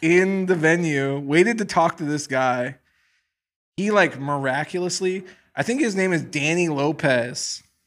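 In a normal speaking voice, a man with an American accent talks at a fairly slow pace, his fairly high pitch showing ordinary variation. The recording is very clean with a silent background. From Wisconsin, US Midwest. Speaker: fashion brand founder. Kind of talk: casual chat.

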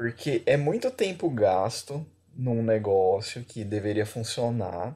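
On a very clean recording with a silent background, a man talks at a very slow pace in a somewhat breathy, medium-pitched voice with lively intonation. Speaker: podcast co-host. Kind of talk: casual chat. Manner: animated.

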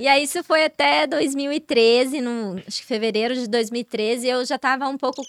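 Hardly pausing, a woman speaks at a high pitch and a fairly slow pace with ordinary pitch variation. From Brazil, Ribeirão Preto. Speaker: model. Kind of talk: casual chat.

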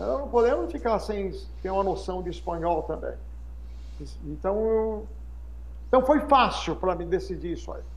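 Audible room echo surrounds a man's voice. He speaks at a moderate pace with long, frequent pauses. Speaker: English teacher and pastor. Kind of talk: podcast interview. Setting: live-streamed podcast.

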